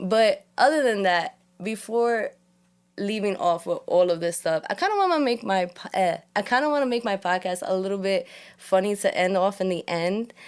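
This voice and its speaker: Speaking with a New York accent, a woman has a medium pitch, lively intonation and an animated tone at a moderate pace. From New York, Puerto Rican family. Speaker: podcast host. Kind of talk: casual chat. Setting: studio.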